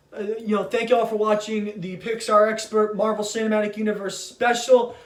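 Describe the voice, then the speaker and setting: Over audible room echo, a man talks at a fairly quick pace and a high pitch. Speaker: YouTuber talking about movies. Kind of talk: casual vlog monologue. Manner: halting, many fillers and repetitions.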